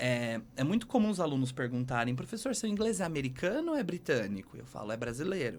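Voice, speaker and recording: Moving at a moderate pace, a man's ordinary speaking voice has lively intonation. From Brazil. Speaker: English teacher. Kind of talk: podcast interview.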